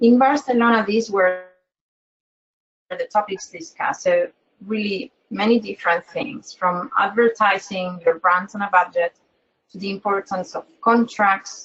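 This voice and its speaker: Speaking at a fairly slow pace with a non-native accent, this voice shows big swings in loudness and ordinary pitch variation. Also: woman, medium pitch for a woman. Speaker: webinar moderator. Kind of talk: webinar presentation. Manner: halting, repeats words.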